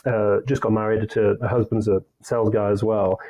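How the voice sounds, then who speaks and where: A man with a northern English accent talks at a moderate pace. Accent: English (northern England). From northern England, Leeds. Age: 40s. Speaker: sales consultancy CEO. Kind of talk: podcast interview.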